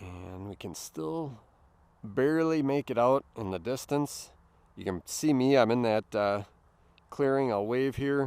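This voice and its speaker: A man with a Midwestern accent speaks fairly slowly at a medium pitch, with lively intonation and big swings in loudness, in a very clean recording with a silent background. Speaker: drone hobbyist YouTuber. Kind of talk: casual narrated flight vlog. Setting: outdoors at a lake park. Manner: relaxed, enthusiastic.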